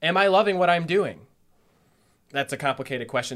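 Speaking very fast, a man talks with a Midwestern American accent. The recording is very clean against a silent background. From Northeast Ohio. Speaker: life coach and tarot reader. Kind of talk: casual interview.

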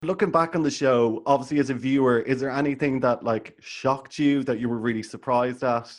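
A man with an Irish accent, fairly quick and with hardly any pauses, against a quiet background. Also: medium pitch for a man, fairly even intonation. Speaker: podcast host. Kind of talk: casual chat.

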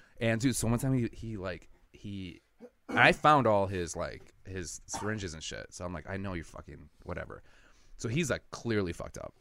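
A man with an American accent talks in a fairly low voice with a bright, sharp tone. His loudness rises and falls sharply. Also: lively intonation, moderate pace. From Milwaukee, Wisconsin. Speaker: comedian. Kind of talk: casual chat.

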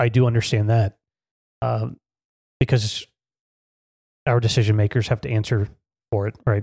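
The man has a fairly low pitch, a dark, mellow tone and a somewhat breathy quality, with fairly even intonation. His moderate pace is broken by long, frequent pauses, in a dry, close sound with no echo. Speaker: podcast co-host. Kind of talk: casual discussion.

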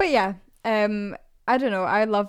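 Here a woman talks with a Scottish accent at a moderate pace. Her intonation stays fairly even. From Scotland. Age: 20s. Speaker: podcast co-host. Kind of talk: casual chat.

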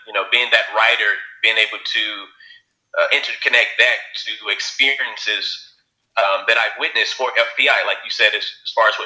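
Speaking at a moderate speed, the man has a Southern US accent. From Alabama. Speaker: writer and producer. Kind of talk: interview.

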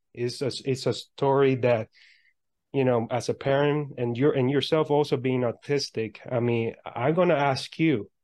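This is an ordinary speaking voice with fairly even intonation. The background is quiet. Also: man. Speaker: podcast host and motivational speaker. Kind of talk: interview.

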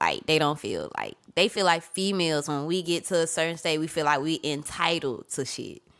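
A woman with an unremarkable speaking voice, fairly low pitch and moderate pace on a very clean recording with a silent background. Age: 30s. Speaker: podcast guest. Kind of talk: casual chat. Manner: laughs often.

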